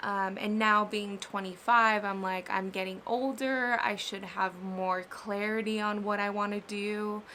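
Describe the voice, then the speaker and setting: Fairly slow and flat in a monotone, the voice has a bright, sharp tone and a Spanish accent. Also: woman, medium pitch for a woman. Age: 20s. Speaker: vlogger and ceramic artist. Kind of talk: casual vlog chat. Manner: halting on hard words.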